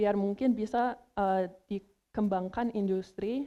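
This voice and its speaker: A woman speaks with an English accent in a dark, mellow tone. Her pitch is medium, and the background is quiet. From United States. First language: English (speaking Indonesian). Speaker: language competition contestant, researcher. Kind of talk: news report presentation; interview answer. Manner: halting, many fillers.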